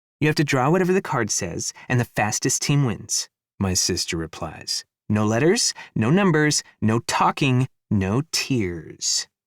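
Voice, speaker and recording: A man puts on a squeaky character voice at a medium pitch and a moderate pace, recorded very cleanly against a silent background with a dry, close sound and no echo. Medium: read story. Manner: excitable, squeaky.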